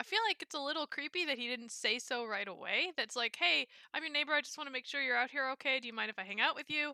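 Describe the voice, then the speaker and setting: Her voice is high, raised and projected, with a bright, sharp tone and lively intonation. The woman speaks at a very fast pace with hardly any pauses, in a dry, close sound with no echo. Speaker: podcast co-host. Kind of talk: casual chat.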